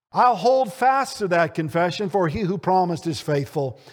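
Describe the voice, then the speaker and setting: A man at a moderate pace with very wide pitch swings, in a very clean recording with a silent background. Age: 60s. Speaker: preacher. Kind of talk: sermon. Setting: church.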